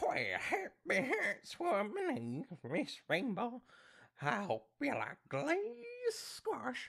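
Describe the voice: Using a put-on character voice, the speaker talks very slowly at a fairly high pitch.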